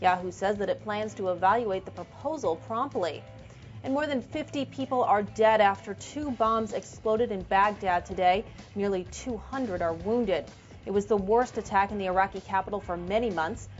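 Faint music plays in the background as a woman of medium pitch speaks with ordinary pitch variation. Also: moderate pace. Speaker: news anchor. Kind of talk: news bulletin read. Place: studio. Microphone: lapel.

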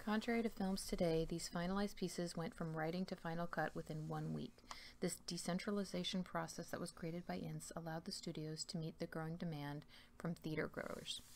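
A normal speaking voice from a woman, fairly low-pitched and with fairly even intonation, moves at a fairly quick pace over light background noise. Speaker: ASMR true-crime host. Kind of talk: ASMR true crime narration. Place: home room. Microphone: webcam.

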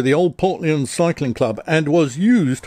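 At a fairly slow pace, a man talks in a dry sound with no echo. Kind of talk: casual vlog chat. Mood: playful, joking. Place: garage.

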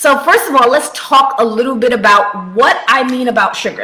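A woman talks at a moderate pace. Her voice is high-pitched. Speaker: health coach. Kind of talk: casual vlog chat. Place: home room. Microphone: webcam.

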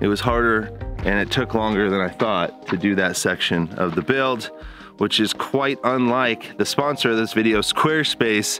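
At a moderate pace, a man speaks with ordinary pitch variation, the sound dry with no echo and faint music in the background. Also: fairly low pitch for a man. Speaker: vlogger. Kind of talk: casual vlog chat. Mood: relieved and upbeat. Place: open country. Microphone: phone near.

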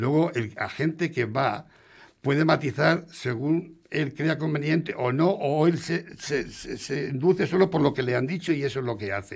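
A somewhat breathy man's voice of fairly high pitch against a quiet background. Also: ordinary pitch variation, fairly slow pace. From Spain. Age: 60s. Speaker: restaurant owner; radio guest. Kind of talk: interview. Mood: frustrated, complaining. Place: studio. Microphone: studio mic.

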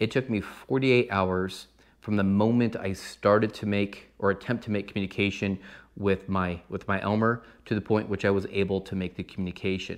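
Against a quiet background, a man has a plain, everyday voice, a fairly low pitch and fairly even intonation, moving at a fairly quick pace. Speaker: ham radio hobbyist. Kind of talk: casual explainer vlog. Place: home room.

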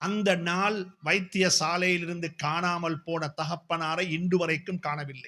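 The voice has a bright, sharp tone and a monotone, flat intonation. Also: man, high pitch for a man. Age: 50s. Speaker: Islamic scholar and preacher. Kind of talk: speech at a community event. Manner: emphatic, repetitive oratory.

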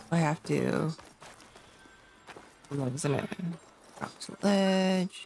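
A woman's very slow speech with long, frequent pauses and noticeable background noise. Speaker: gaming streamer. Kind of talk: gameplay commentary. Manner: halting, many fillers.

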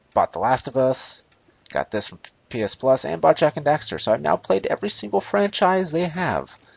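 At a moderate pace, a man with medium pitch and vocal fry swings very widely in pitch and makes big swings in loudness. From North America. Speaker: gaming YouTuber doing a playthrough. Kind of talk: let's play commentary. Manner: casual, conversational.

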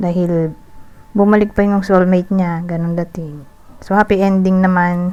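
At a moderate pace, a woman of medium pitch speaks in a monotone, flat intonation amid noticeable background noise. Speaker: tarot reader. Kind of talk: tarot reading monologue. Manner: casual, hesitant with fillers.

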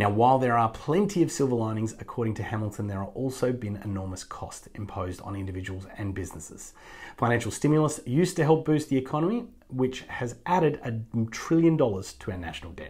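Against a quiet background, a somewhat breathy man talks at a very fast pace with very wide pitch swings and big swings in loudness. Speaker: news presenter. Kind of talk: news roundup commentary. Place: office. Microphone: lapel.

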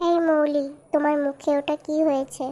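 A woman does a cartoonish character voice, high in pitch and flat and monotone. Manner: stern, scolding.

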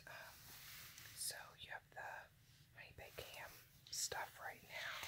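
Whispering at a very slow pace, with long, frequent pauses. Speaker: coupon deal reviewer. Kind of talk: ASMR coupon review, whispered talk to camera. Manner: whispered. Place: home room. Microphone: phone near.

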